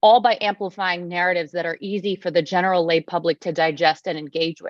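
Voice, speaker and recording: In an American accent, a woman with a fairly low pitch talks at a very fast pace. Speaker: nonprofit representative presenting at a conference. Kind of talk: conference presentation.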